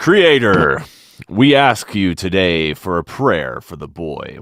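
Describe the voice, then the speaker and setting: A man puts on a character voice that is very deep and low, talking at a fairly slow pace. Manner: solemn, prayerful.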